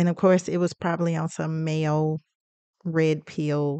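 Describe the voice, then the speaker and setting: A woman with an unremarkable speaking voice and fairly low pitch speaks at a moderate pace, with a quiet background and a dry sound with no echo. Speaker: podcast host. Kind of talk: commentary. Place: studio. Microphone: studio mic.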